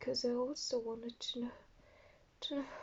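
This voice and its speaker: A high-pitched woman's voice with a non-native accent and ordinary pitch variation. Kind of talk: story reading.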